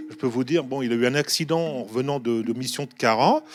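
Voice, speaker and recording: Speaking at a fairly quick pace, a man uses a medium-pitched voice with ordinary pitch variation. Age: 60s. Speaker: first aid trainer. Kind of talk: TV talk show interview. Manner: halting.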